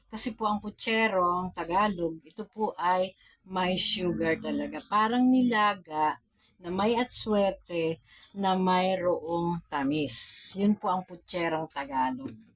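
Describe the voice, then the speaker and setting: The speaker is soft-spoken and talks at a very slow pace. Pitch varies in an ordinary way. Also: woman, medium pitch for a woman. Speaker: cooking vlogger. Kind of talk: cooking tutorial. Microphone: no external mic, quiet.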